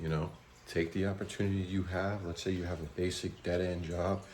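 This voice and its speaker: In audible room echo, a man with an American accent speaks at a very deep, low pitch, somewhat breathy, with fairly even intonation. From USA. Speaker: travel vlogger. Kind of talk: vlog narration.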